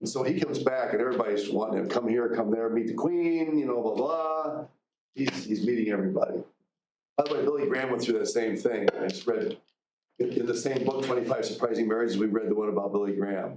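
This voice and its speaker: A man races along at a very fast pace in a medium pitch, his pitch varying in an ordinary way. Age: 60s. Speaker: college teacher. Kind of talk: lecture. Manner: halting.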